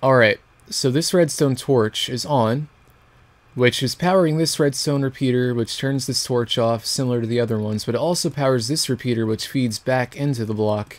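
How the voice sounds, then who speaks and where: Here a man speaks in a plain, everyday voice at a medium pitch. His pace is moderate and his pitch variation ordinary. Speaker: gaming video creator. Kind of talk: let's play commentary.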